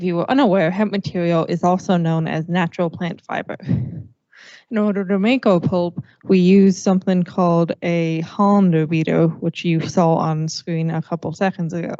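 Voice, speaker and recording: A woman with an unremarkable speaking voice and fairly low pitch keeps a moderate pace and fairly even intonation. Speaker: student presenter. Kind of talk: class presentation.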